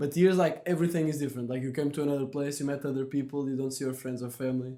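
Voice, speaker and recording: Speaking very fast with a Portuguese accent, a man has a fairly high pitch and a dark, mellow tone. His intonation is monotone and flat. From Portugal. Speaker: podcast host. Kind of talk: casual chat.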